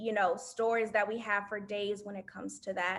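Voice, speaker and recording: A woman speaks in a monotone, flat intonation with a slight Southern US accent. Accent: slight Southern twang. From US South. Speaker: alumna panelist. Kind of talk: panel discussion.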